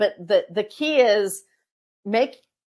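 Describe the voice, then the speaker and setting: A woman speaks on a very clean recording with a silent background. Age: 60s. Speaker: author and age inclusivity advocate. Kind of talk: interview. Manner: halting, many fillers.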